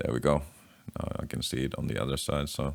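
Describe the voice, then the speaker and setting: A man with a very deep, low pitch and vocal fry speaks at a moderate pace. He has a non-native accent. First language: not English. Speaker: DIY guitar pedal builder. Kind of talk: casual tutorial while working. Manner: halting.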